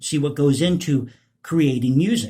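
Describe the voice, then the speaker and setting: A man's fairly high, somewhat breathy voice with lively intonation. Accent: American. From United States. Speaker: political commentary youtuber, composer. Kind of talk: casual vlog commentary.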